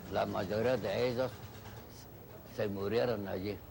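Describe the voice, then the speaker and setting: A man talks at a fairly slow pace in a somewhat breathy voice, pitched fairly low, with fairly even intonation. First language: Chinese (speaking Spanish). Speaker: Chinese immigrant interviewee. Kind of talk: interview testimony.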